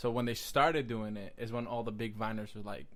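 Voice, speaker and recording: There is audible room echo around a man speaking at a fairly low pitch. He talks at a very fast pace. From South Bronx, New York; Puerto Rican family. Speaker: podcast guest, social media creator. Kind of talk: casual interview chat. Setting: friend's house. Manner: quieter than host.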